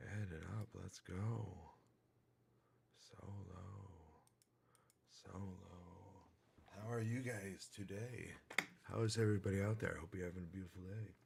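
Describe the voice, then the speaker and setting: A man talks at a fairly slow pace, with long, frequent pauses. Noticeable background noise runs under his voice. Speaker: livestreamer. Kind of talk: casual livestream chat. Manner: animated; loud.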